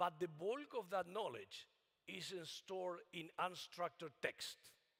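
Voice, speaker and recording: The speaker is a man with a non-native accent. His voice is high-pitched. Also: ordinary pitch variation, fairly slow pace. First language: not English. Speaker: AI researcher. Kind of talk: keynote talk. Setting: conference stage with audience. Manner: halting.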